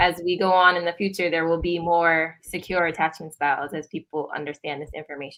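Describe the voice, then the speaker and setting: Barely pausing at all, a woman talks at a fairly quick pace in a fairly low pitch. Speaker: licensed counselor. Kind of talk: interview. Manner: loud; halting with fillers.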